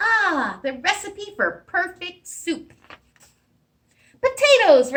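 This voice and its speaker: A woman puts on a squeaky character voice at an extremely high pitch. She speaks at a very slow pace. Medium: read story. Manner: fussy.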